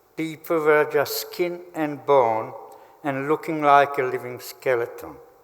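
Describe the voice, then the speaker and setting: At a fairly slow pace, a man speaks with a fairly high pitch and fairly even intonation over noticeable background noise. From Slovakia. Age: 80s+. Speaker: Holocaust survivor. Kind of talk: testimony. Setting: memorial ceremony hall.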